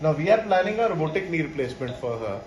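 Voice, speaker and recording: A man talks at a very fast pace in a high voice. Noticeable background noise can be heard. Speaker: orthopedic surgeon. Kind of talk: medical explanation to camera.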